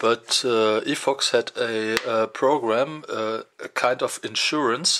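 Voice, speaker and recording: With a non-native accent, the speaker talks at a very slow pace with hardly any pauses. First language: German. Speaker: tech reviewer. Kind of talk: unboxing video. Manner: halting, many fillers.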